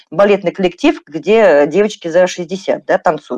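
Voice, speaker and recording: Her voice has a dark, mellow tone, and this woman's pitch is fairly low. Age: 40s. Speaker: psychologist and journalist answering listener questions. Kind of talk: expert Q&A livestream. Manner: conversational, with many filler words.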